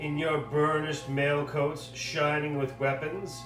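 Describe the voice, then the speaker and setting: A man with a fairly high voice speaks very slowly over music in the background. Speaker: puppeteer reading aloud for a class project. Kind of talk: poetry reading.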